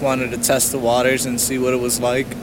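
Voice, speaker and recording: There is audible room echo and noticeable background noise as a man talks with an American accent. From New Jersey. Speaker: amateur track cyclist. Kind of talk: casual chat. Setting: outdoors.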